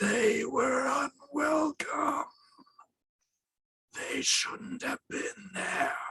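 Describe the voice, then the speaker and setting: A man uses a raspy, put-on character voice at an extremely high pitch. He speaks at a very slow pace with long, frequent pauses. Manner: sullen, irritable.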